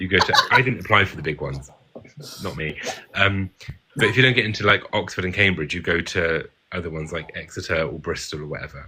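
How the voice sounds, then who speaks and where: A man talks at a very fast pace with an English accent. His pitch is very deep and low. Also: ordinary pitch variation. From England, rural. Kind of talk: casual chat.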